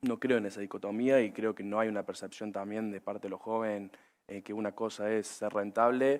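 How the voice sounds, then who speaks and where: Speaking with a Córdoba accent, a man uses a fairly low pitch and monotone, flat intonation. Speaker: agribusiness panelist. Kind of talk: panel discussion. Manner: hesitant with many fillers.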